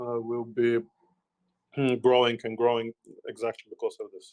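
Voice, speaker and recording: With a dry, close sound and no echo, a man speaks at a fairly quick pace in a medium pitch with monotone, flat intonation. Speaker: crypto project founder. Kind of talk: live Q&A session.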